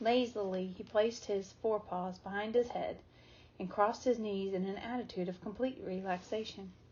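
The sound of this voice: Someone reads in an unforced voice.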